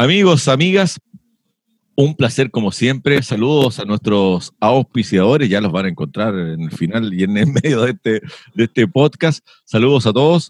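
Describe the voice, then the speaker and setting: A man with a medium pitch speaks at a moderate pace, his pitch swinging very widely. The sound is dry and close, with no echo. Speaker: podcast host. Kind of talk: casual chat.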